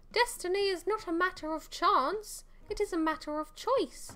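Using a put-on character voice at an extremely high pitch, a woman projects loudly at a moderate pace with lively intonation.

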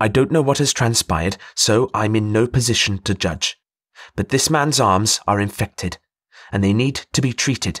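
Quiet surroundings, ordinary pitch movement, and an unforced reading voice

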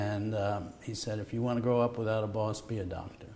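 Light background noise sits behind a man's voice. He sounds somewhat breathy and keeps a moderate pace. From New York, Brooklyn. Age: 60s. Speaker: Nobel laureate medical scientist. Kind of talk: conversational interview. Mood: relaxed, warmly anecdotal. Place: studio.

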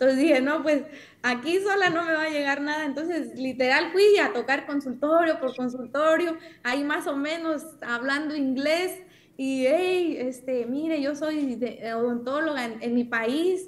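Speaking with a Mexican accent at a fairly slow pace, a woman has a high pitch and ordinary pitch variation. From Mexico. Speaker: dentist; podcast host or guest. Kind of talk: casual conversation. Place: home room. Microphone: webcam.

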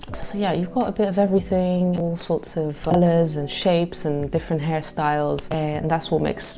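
A woman's fairly low-pitched voice with hardly any pauses, over noticeable background noise. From Morocco. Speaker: travel vlogger. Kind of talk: travel vlog monologue. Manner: animated. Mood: warm, upbeat. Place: home room. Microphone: lapel.

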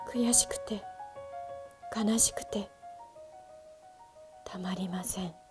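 A woman at a very slow pace, with long, frequent pauses, ordinary pitch variation, and clear music in the background. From Fukushima, Japan. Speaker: TV announcer. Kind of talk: picture book reading. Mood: gentle, somber. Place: hall.

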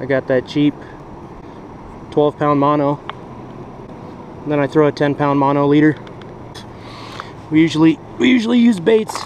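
A man with a fairly high, slightly mellow voice speaks fairly slowly with long, frequent pauses and ordinary pitch variation, with faint background noise.

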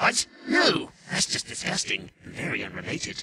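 This man performs a put-on character voice that is raspy and extremely high in pitch. His pace is moderate. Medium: comedy sketch. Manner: theatrical, commanding.

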